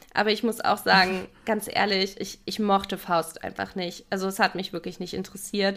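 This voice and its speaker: Delivered at a moderate pace with hardly any pauses, the voice stays monotone and flat in intonation while its loudness swings widely. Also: woman, medium pitch for a woman. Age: 20s. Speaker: podcast co-host, criminology. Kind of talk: casual chat.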